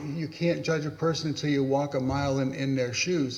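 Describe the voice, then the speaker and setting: Noticeable background noise blends with audible room echo throughout this clip. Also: man. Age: 70s. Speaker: pastor. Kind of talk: panel talk. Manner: halting.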